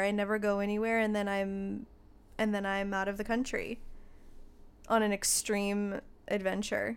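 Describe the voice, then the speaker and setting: A woman speaks at a moderate pace in a fairly high pitch with an unremarkable speaking voice. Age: 30s. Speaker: podcast co-host and photographer on Instagram. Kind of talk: casual chat.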